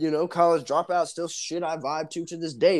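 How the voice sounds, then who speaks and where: The recording of this man is very clean, with a silent background behind him. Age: 20s. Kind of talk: casual banter podcast with crude humor. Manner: animated, joking.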